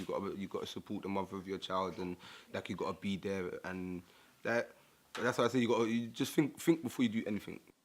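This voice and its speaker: Noticeable background noise runs under a man who talks very fast. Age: 20s. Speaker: young father. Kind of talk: testimony.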